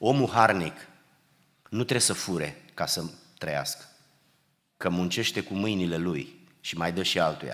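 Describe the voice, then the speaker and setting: A man's very deep, low voice in an animated tone, ordinary pitch variation, a fairly slow pace with long, frequent pauses, and audible room echo. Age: 60s. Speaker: preacher. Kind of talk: sermon. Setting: church.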